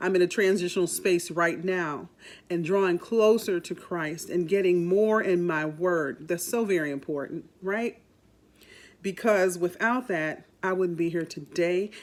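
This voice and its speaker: With an unremarkable speaking voice, a woman talks fairly slowly at a fairly low pitch on a very clean recording with a silent background. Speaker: radio host and voice talent. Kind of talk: podcast introduction talk. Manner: warm, upbeat.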